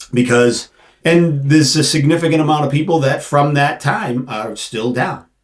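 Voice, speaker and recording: At a moderate pace, a man speaks in a fairly high pitch, somewhat breathy, with ordinary pitch variation. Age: 50s. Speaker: financial planner and insurance agent. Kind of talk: casual interview.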